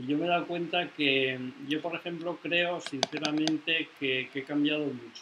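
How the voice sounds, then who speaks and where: A man talks with hardly any pauses and fairly even intonation. Noticeable background noise runs underneath. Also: fairly high pitch for a man, moderate pace. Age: 70s. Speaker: discussion group participant. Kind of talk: group discussion.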